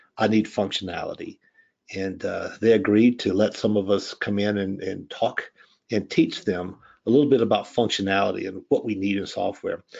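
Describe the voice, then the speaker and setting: Speaking in a Louisiana accent, a man keeps a moderate pace. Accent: noticeable Southern US (Louisiana). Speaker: software product expert, former pipe designer. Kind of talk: live software demo webinar. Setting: online webinar. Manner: casual, many fillers (um, uh).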